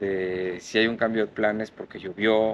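This man's pitch is fairly low. His intonation is flat and monotone. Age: 60s. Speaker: ice bath and breathwork instructor. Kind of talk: casual interview.

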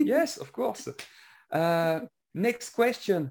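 The speaker uses a French accent and a very slow pace. The recording is very clean, with a silent background. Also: man. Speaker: podcast interviewer. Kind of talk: casual interview. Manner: halting.

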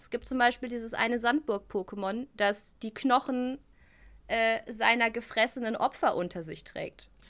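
A woman's high, bright and sharp voice at a moderate pace, on a very clean recording with a silent background. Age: 30s. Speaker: video game journalist and host. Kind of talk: casual chat.

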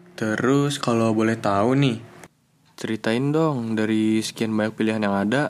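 A man speaks in an unremarkable speaking voice, medium in pitch, with fairly even intonation and a moderate pace. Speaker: student podcast host. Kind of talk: casual podcast interview. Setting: studio, guest seated beside him.

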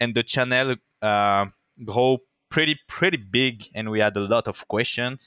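In a French accent, a man speaks at a moderate pace with a bright, sharp tone and fairly even intonation, the sound dry and close with no echo. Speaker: motion design director and community founder. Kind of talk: interview.

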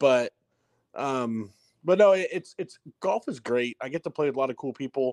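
In a plain, everyday voice with an American accent, a man speaks at a moderate pace with lively intonation and a fairly high pitch, the sound dry and close with no echo. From Southern California. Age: 30s. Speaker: motorsports consultant and former racer. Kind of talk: interview.

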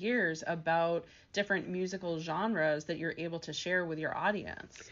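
Talking at a moderate pace with a medium pitch, a woman has an unremarkable speaking voice. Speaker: career coach and podcast host. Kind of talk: interview. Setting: radio studio.

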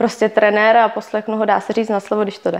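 A woman's voice, fairly high in pitch. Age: 20s. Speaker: enduro rider. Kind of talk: interview. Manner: halting.

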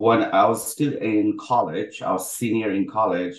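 Fairly slow speech in a plain, everyday voice, its pitch varying in an ordinary way. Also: man. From Bangladesh (Dhaka), moved to US as teen. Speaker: healthtech co-founder and CTO. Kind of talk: interview webinar.

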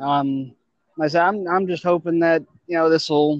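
Speaking at a moderate pace with an American accent, a man has an unremarkable speaking voice and fairly high pitch. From Ohio, Akron. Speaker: artist. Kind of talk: casual chat.

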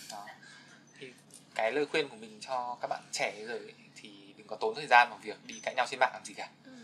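Over noticeable background noise, a man talks at a fairly quick pace with fairly even intonation, big swings in loudness, and long, frequent pauses. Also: medium pitch for a man. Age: 20s. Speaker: podcast guest, young office worker. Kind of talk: casual interview chat.

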